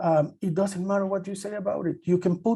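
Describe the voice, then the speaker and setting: Speaking with a Spanish accent at a moderate pace, a man has a high pitch and a dark, mellow tone. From El Salvador. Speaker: journalist, panelist. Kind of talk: panel discussion.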